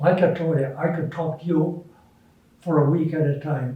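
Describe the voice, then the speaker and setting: A man speaks with an Upper Midwest accent. His pitch is fairly high and his pace is moderate. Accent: Upper Midwest American. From Minneapolis, Minnesota. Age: 80s+. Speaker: retired businessman. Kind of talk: interview answer.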